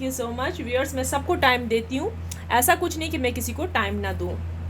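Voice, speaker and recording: This woman speaks at a moderate tempo, her voice carrying audible room echo over clearly noticeable background noise. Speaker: astrologer and tarot card reader. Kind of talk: live stream chat.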